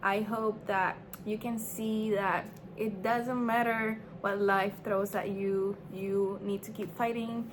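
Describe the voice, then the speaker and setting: At a very slow pace, a woman talks in a medium pitch with monotone, flat intonation. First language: not English. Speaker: small business owner and vlogger. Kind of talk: casual vlog talk to camera. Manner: hesitant, filler-heavy.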